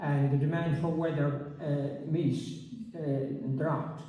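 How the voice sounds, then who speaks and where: Speaking very slowly with a western Irish accent, a man with a fairly high pitch keeps his intonation fairly even while room echo is audible. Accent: Irish, west of Ireland. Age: 80s+. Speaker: retired agricultural adviser and author. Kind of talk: public talk interview. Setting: community centre with audience. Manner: halting with many fillers.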